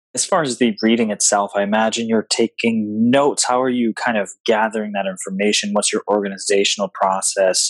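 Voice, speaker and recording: With hardly any pauses, a man at medium pitch uses an ordinary speaking voice and fairly even intonation in a dry, close sound with no echo. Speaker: podcast host. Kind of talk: scripted intro then interview questions.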